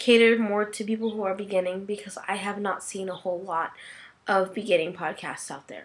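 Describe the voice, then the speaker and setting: Her intonation fairly even, a woman talks in a plain, everyday voice. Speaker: podcast host. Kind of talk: casual podcast monologue.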